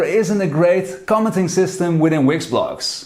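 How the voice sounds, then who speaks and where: Audible room echo surrounds a man with a non-native accent whose high-pitched voice has an animated tone. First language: not English. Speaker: blogger and online business owner. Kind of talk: video commentary.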